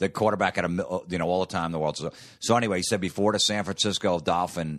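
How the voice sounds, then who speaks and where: A man with an American accent talks very fast in a very deep, low voice with vocal fry, the sound dry and close with no echo over a quiet background. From New Jersey. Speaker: comedian. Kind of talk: casual chat.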